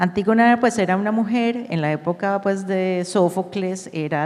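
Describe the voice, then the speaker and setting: The speaker, with a Colombian accent, talks at a fairly slow pace and with ordinary pitch variation. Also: woman. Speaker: company executive. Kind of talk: panel discussion. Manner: halting.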